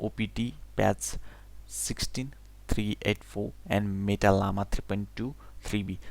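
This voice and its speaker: A non-native accent colors the speech. The delivery moves fairly slowly. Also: man. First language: not English. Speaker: English learner. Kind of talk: reading a technical blog aloud. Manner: unrehearsed, halting.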